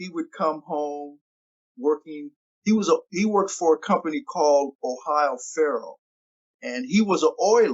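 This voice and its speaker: A man's high voice with lively intonation at a moderate pace. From US Pacific Northwest, Tacoma. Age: 70s. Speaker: interview guest sharing life story. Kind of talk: podcast interview. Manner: halting, many repeated words.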